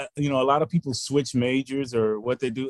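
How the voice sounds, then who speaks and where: A man speaks in a normal speaking voice at medium pitch and a moderate pace, with ordinary pitch variation. The sound is dry and close, with no echo. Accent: American. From Texas, Houston. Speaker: finance professor. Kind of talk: interview.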